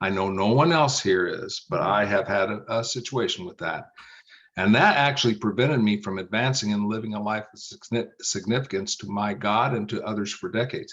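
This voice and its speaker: A man's fairly low-pitched, ordinary speaking voice, fairly quick, with ordinary pitch variation. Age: 60s. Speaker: business coach. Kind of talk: podcast interview.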